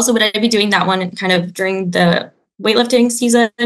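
Someone with a Canadian accent speaks in a bright, sharp tone against a quiet background. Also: woman. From Canada. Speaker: caller. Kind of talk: casual chat. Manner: animated. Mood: friendly, enthusiastic. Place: home room. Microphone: video call.

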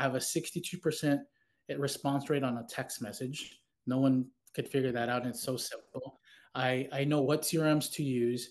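A man with an American accent and a medium pitch speaks at a moderate pace with fairly even intonation over a quiet background. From South Texas. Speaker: trade school owner. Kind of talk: interview podcast. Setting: video call. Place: home room. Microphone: video call.

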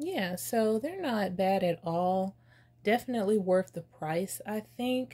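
A woman's somewhat breathy voice with a dark, mellow tone. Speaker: beauty youtuber. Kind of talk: casual chat. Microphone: phone near.

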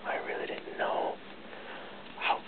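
A man is speaking. He whispers. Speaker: vlogger. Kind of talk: casual talk to camera. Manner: whispered. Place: home room. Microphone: webcam.

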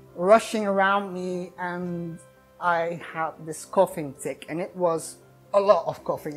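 A woman talks at a fairly slow pace in a fairly low voice. Faint music plays in the background. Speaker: vlogger telling a personal story. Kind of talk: casual vlog storytelling. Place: home room. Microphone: lapel.

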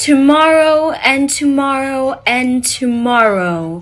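In a put-on character voice, a female-sounding speaker talks at a very slow pace and a high pitch, with faint music in the background. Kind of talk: theatrical, formal.

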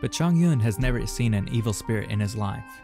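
Music plays in the background as a man with a medium-pitched voice talks very fast with lively intonation. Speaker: narrator. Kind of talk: reading aloud.

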